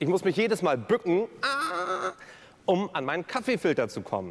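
At a fairly slow pace, a man says his lines. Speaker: keynote speaker and cabaret performer. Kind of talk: cabaret-style speech on stage at a gala. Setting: live stage event. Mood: humorous, playful. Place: stage. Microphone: headset.

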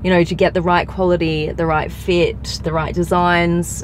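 A woman's fairly low voice in a flat monotone, with light background noise. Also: dry sound with no echo. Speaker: car vlogger. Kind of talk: casual vlog chat. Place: car. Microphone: phone near.

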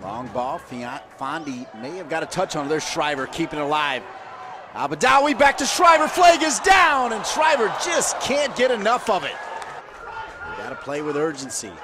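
With noticeable background noise behind him, a man talks at a moderate pace, his loudness swinging widely. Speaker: play-by-play commentator. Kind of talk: live sports commentary. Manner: rising call on goals.

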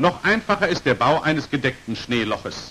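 Medium-pitched and bright with a sharp tone, a man's voice carries a slightly husky edge. He talks at a moderate pace with big pitch swings.

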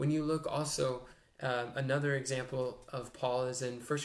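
At a fairly slow pace, a man speaks with fairly even intonation. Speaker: speaker. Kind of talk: sermon. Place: home room. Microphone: webcam.

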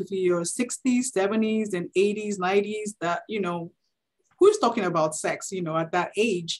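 The background stays quiet. A woman speaks fairly slowly, her pitch varying in an ordinary way. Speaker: webinar presenter. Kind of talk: lecture. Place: home room. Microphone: video call.

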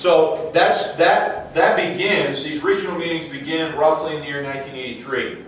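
A man talks at a fairly slow pace with a fairly high pitch and fairly even intonation, hardly pausing at all. Audible room echo and light background noise sit around him. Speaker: Bible teacher. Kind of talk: lecture. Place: church.

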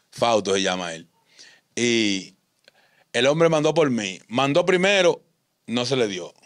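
Over a quiet background, a man at a medium pitch talks at a very slow pace with very wide pitch swings and long, frequent pauses. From Dominican Republic, San Juan countryside, raised in Santo Domingo; Dominican Republic. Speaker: ex-convict; interview guest. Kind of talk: interview, life story. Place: studio. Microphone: studio mic.

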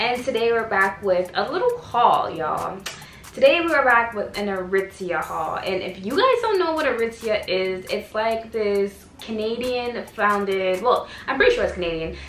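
Light background noise and audible room echo surround a woman speaking at a moderate pace. Her pitch is fairly high and her intonation lively. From Canada. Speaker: fashion YouTuber. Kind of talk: casual talk to camera. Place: home room. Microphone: camera far.

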